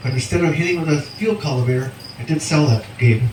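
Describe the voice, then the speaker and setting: Rattling along at a very fast pace, a man with an American accent speaks at a fairly high pitch with ordinary pitch variation, amid noticeable background noise and audible room echo. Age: 60s. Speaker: farmer. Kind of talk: presentation at field day. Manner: hesitant with fillers.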